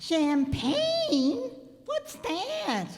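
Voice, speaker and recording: Her intonation is lively and her pitch is high. The woman is doing a put-on character voice. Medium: stage play.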